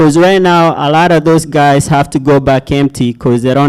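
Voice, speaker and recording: A man with an African accent, fairly high in pitch, with fairly even intonation at a moderate pace. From Kenya. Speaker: logistics startup founder. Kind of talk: pitch presentation and Q&A. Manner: casual, with many fillers.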